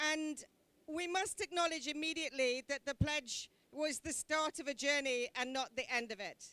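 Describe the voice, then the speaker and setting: A woman with a British accent, high pitch, raised, projected voice, bright, sharp tone, ordinary pitch variation, and a dry, close sound with no echo. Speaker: government envoy. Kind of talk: conference speech. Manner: slow; loud.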